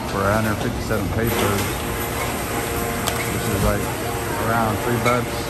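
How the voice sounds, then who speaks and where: Clear music plays in the background while a man speaks. The sound is dry, with no echo. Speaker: travel vlogger. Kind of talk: casual vlog chat. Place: cafe. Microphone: phone near.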